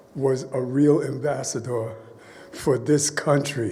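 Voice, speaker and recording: In an American accent, a man of medium pitch speaks with monotone, flat intonation amid audible room echo. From USA. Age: 70s. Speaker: jazz musician. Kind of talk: ceremony speech. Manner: informal, improvised.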